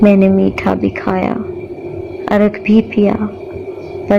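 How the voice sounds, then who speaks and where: A woman with a medium pitch is heard through noticeable background noise. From Pakistan. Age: young. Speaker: poet. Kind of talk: poetry reading.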